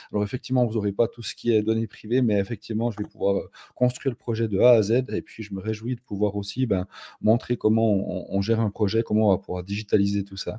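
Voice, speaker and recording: Delivery is very fast and monotone, with flat intonation. The tone is dark and mellow, and the sound is dry and close with no echo. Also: man, fairly low pitch for a man. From Switzerland, canton of Fribourg. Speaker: no-code consultant. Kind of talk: live stream conversation. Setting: live stream.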